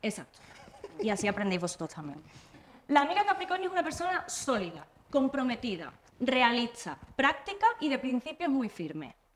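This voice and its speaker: A woman speaks at a moderate pace in a high voice, her pitch swinging very widely. Noticeable background noise runs underneath. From Andalusia, Spain. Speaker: podcast host. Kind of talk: casual chat.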